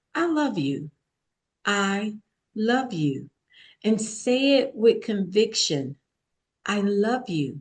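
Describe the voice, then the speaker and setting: A woman with a somewhat breathy, fairly high voice speaks at a very slow pace, with very wide pitch swings and long, frequent pauses. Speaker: author and speaker. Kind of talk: podcast interview.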